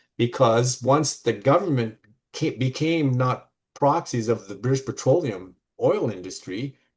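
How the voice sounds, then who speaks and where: A man talks with a somewhat breathy voice over a quiet background. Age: 70s. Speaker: study group participant. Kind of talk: group discussion. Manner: animated.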